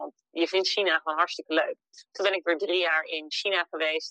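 A woman talks at a fairly quick pace in a fairly low voice with monotone, flat intonation. The sound is dry and close, with no echo. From Netherlands, Emmeloord (Noordoostpolder). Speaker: entrepreneur living abroad. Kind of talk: interview.

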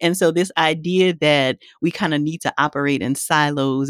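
A woman's very deep, low voice in a very clean recording with a silent background, dry and close with no echo. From Louisiana. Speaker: psychologist and author. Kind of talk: interview.

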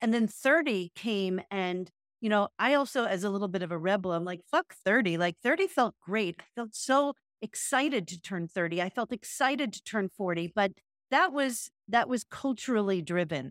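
In a dry, close sound with no echo, a woman with an unremarkable speaking voice talks at medium pitch and a moderate pace. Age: 50s. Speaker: podcast co-host, retreat facilitator. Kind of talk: casual chat.

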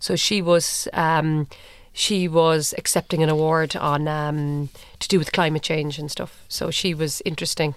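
A woman with a Cork accent speaks in a very deep, low voice at a fairly slow pace. Her intonation stays monotone and flat. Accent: Cork Irish. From Ireland, Cork. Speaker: television producer. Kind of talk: interview conversation. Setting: studio.

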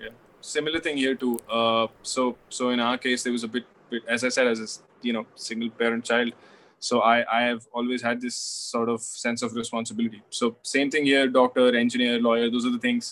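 In an Indian accent, a man speaks at a fairly quick pace with monotone, flat intonation. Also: medium pitch for a man. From India, Delhi. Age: 20s. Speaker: author. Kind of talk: casual chat.

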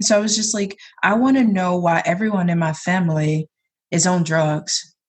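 With an American accent, a woman speaks at medium pitch, somewhat breathy, with fairly even intonation. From US South, south Georgia. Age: 20s. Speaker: poet. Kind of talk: casual chat; poetry reading.

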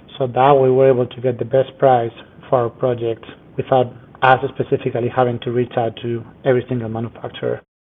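Very fast and monotone, a man with a Spanish accent talks at a medium pitch with flat intonation. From Spain, Madrid. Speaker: structural engineer. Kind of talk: interview.

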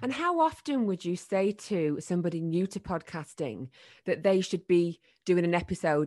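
Here is a woman with a northern English accent and a fairly low pitch. The background is quiet. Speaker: podcast host and former radio presenter. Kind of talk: casual interview chat.

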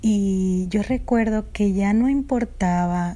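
Her tone is dark and mellow, at medium pitch. The woman speaks at a very slow pace. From Dominican Republic. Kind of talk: testimony. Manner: halting.

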